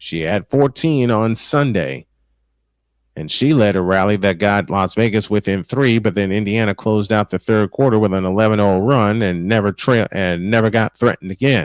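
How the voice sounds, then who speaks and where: A man talks at a moderate pace in a fairly low voice, with ordinary variation in pitch. The sound is dry and close with no echo, and the background is quiet. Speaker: sports play-by-play announcer. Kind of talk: live basketball play-by-play call. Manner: passionate, energetic.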